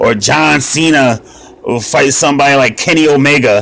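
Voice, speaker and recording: Ordinary pitch variation against noticeable background noise. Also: man. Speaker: mobile gaming youtuber. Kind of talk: casual gameplay commentary. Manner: loud; animated.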